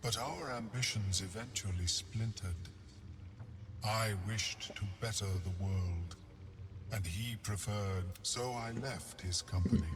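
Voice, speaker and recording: This is a put-on character voice at a fairly slow pace. Clear background noise runs underneath. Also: man, fairly low pitch for a man. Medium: machinima. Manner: formal, measured, scholarly.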